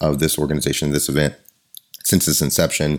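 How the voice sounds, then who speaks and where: The man speaks with a very deep, low pitch. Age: 40s. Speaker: martial arts podcast host and Muay Thai coach. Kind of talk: scripted intro and ad read; casual interview chat.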